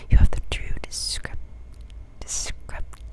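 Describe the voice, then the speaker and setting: Someone whispers over noticeable background noise. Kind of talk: ASMR whispered book reading.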